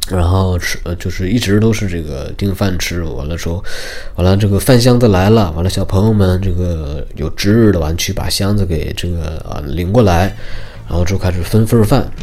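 A man with a very deep, low voice speaks at a moderate pace with ordinary pitch variation, with noticeable background noise and audible room echo. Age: 20s. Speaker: podcast host. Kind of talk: casual monologue. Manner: halting, many fillers.

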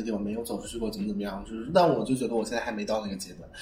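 This man's voice sits at a medium pitch. Its variation in pitch is ordinary. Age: 20s. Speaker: fashion designer. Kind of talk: casual chat.

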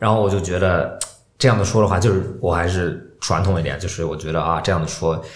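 With a very deep, low pitch and fairly even intonation, a man speaks at a fairly quick pace amid audible room echo and noticeable background noise. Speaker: podcast co-host. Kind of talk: casual chat. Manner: talkative.

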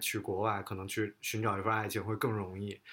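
Here is a man with a normal speaking voice and a fairly low pitch, talking at a fairly quick pace. The recording is very clean, with a silent background. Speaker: podcast host. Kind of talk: casual interview chat.

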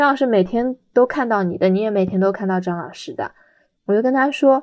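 Pitched fairly high with ordinary variation, a woman talks in an unremarkable speaking voice. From Shanghai, China. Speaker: special education teacher. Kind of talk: personal storytelling.

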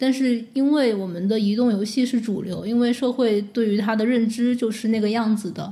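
Hardly pausing, a woman with a fairly high, somewhat breathy voice and a dark, mellow tone speaks at a moderate pace with fairly even intonation. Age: 20s. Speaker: former game media editor. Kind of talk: podcast conversation.

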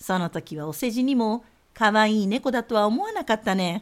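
A woman with a normal speaking voice and a fairly high pitch talks at a moderate pace with ordinary pitch variation, recorded very cleanly over a silent background. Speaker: podcast host. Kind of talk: casual chat.

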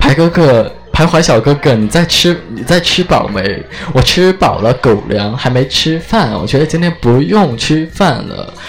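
Over noticeable background noise, a man speaks fairly slowly at a fairly high pitch with lively intonation. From Chengdu, Sichuan. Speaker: live-stream radio host. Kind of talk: live-stream chat and interviews. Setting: restaurant, on-location live stream. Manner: animated.

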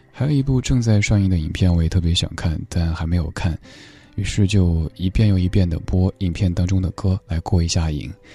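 A man's very deep, low voice at a fairly quick pace with ordinary pitch variation, dry and close with no echo, amid noticeable background noise. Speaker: late-night radio host. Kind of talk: live late-night radio talk. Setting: radio studio. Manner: steady.

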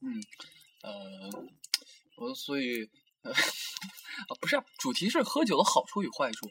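The speech moves at a very slow pace and is broken by long, frequent pauses. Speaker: campus radio host; university student. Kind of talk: casual chat. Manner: halting.

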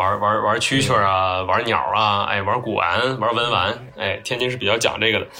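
A man with a medium-pitched voice speaks at a moderate pace with ordinary pitch variation and hardly any pauses. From Tianjin, China. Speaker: graphic designer and podcaster. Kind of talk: casual chat. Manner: halting, with frequent repetitions and fillers.

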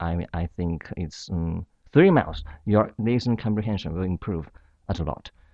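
In a quiet background with a dry, close sound and no echo, a man with a Chinese accent speaks in a very deep, low pitch and a dark, mellow tone, using ordinary pitch variation. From China. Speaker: university student. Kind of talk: interview. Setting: studio. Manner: halting.

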